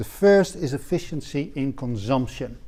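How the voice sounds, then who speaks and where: The speaker has a dark, mellow tone and lively intonation. The pace is fairly slow. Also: man. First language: not English. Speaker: economics lecturer. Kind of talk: lecture. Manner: hesitant, many filler words.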